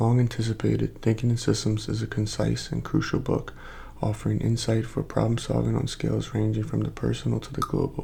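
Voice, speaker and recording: Soft-spoken delivery at a fairly quick pace. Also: man. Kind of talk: ASMR book cover reading.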